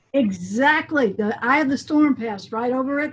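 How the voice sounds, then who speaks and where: A woman speaks in an unremarkable speaking voice. Her pace is moderate and her pitch varies in an ordinary way. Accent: American. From US South, coastal Mississippi. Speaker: band director and music educator. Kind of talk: interview.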